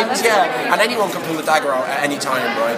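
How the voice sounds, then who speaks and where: A man talks at a very fast pace over loud background noise. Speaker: actor. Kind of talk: interview answer. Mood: cheerful, animated. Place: hall. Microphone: handheld.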